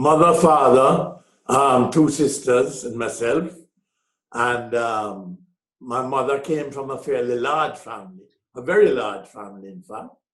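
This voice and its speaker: A man at a fairly slow pace and medium pitch, with ordinary pitch variation, big swings in loudness and audible room echo. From Jamaica. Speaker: businessman and author. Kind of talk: interview. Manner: halting.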